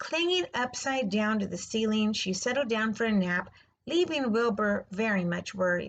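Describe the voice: Simple, plain reading aloud.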